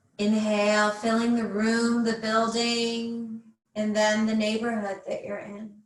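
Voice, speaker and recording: Somewhat breathy and fairly high in pitch, a woman speaks at a fairly slow pace with monotone, flat intonation. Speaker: mindfulness / breathing class instructor. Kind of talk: guided breathing meditation. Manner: slow, calm, soothing, with long pauses.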